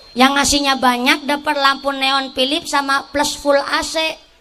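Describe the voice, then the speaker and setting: A woman talks at a moderate pace while noticeable background noise is present. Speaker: female Islamic preacher. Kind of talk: sermon. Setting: stage with audience, PA system.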